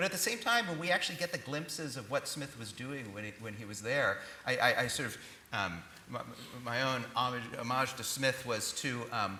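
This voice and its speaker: A man speaks with ordinary pitch variation and big swings in loudness. The recording carries audible room echo and noticeable background noise. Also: medium pitch for a man, moderate pace. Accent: American. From United States. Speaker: professor. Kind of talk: panel discussion.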